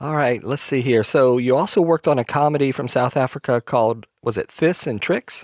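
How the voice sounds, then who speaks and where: A man's normal speaking voice at medium pitch, fairly quick with hardly any pauses, ordinary pitch variation, and a dry, close sound with no echo over a quiet background. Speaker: podcast host. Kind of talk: podcast host intro and interview questions.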